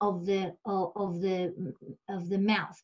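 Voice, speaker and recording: A somewhat breathy female voice. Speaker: special education expert. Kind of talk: webinar lecture. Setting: online webinar. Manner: repetitive stammering fillers.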